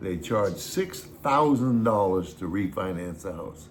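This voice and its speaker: A man speaks with an American accent at a fairly low pitch, somewhat breathy. Audible room echo surrounds his voice. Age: 80s+. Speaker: YouTube host, retiree. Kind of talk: casual chat.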